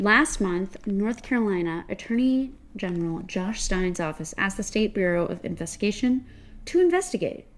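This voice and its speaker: Using an ordinary speaking voice, a woman talks at a moderate pace and medium pitch with lively intonation. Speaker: podcast co-host. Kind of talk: casual chat and interview.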